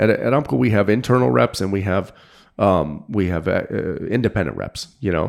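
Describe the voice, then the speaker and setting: A man speaks at a fairly quick pace with a very deep, low pitch, very wide pitch swings and vocal fry, on a very clean recording with a silent background. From New England (Manchester, New Hampshire). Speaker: fly fishing guide and tackle sales manager. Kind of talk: casual interview.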